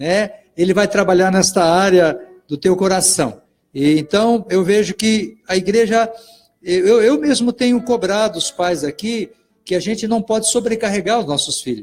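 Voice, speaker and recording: Ordinary pitch variation at a fairly slow pace, with music in the background. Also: man, high pitch for a man. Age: 60s. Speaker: pastor and radio host. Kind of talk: live radio interview. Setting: radio studio, live broadcast.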